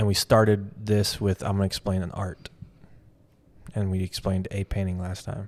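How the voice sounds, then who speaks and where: Delivery is monotone and flat at a moderate pace, broken by long, frequent pauses. The sound is dry and close, with no echo. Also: man, fairly low pitch for a man. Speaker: art gallery owner and video creator. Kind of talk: casual chat. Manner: loud.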